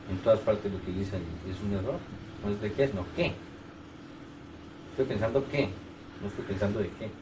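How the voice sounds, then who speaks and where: In a Colombian accent, a man talks at a fairly quick pace yet leaves long, frequent pauses. Audible room echo is present. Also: ordinary pitch variation. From Bogotá, Colombia. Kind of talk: casual chat. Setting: private home.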